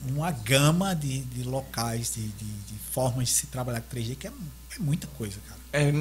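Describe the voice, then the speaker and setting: A man's speech moves at a moderate pace while music sounds in the background. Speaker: 3D modeling artist. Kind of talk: casual chat. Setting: live-streamed podcast.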